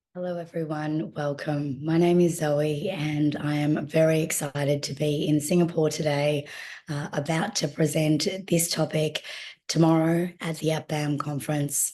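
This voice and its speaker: In an Australian accent, a woman speaks at a moderate pace with a very deep, low pitch, a dark, mellow tone, and monotone, flat intonation. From Australia, Melbourne. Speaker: clinical consultant and trauma researcher. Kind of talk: online presentation.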